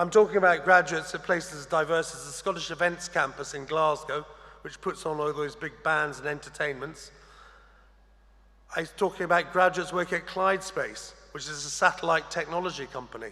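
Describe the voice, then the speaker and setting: This man talks at a fairly quick pace with a bright, sharp tone. His pitch is high and his intonation fairly even. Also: big swings in loudness. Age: 60s. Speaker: graduation ceremony speaker. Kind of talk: commencement address. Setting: graduation ceremony hall. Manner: formal.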